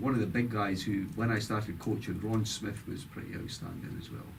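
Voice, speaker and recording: Somewhat breathy and flat in intonation, a man talks at a fairly quick pace with hardly any pauses, his voice carrying audible room echo. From Scotland, Dundee. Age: 60s. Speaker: former football player and coach. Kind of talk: interview.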